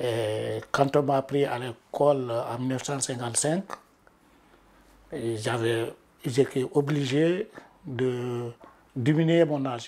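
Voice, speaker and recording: The speech moves at a very slow pace, with long, frequent pauses. Pitch varies in an ordinary way. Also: man, medium pitch for a man. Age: 70s. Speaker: retired activist, interviewee. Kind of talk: documentary interview.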